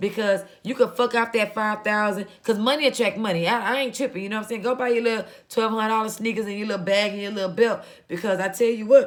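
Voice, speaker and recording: A woman talks at a very fast pace. Her pitch is fairly high and her tone animated. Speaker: vlogger and small business owner. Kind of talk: casual monologue. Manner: loud.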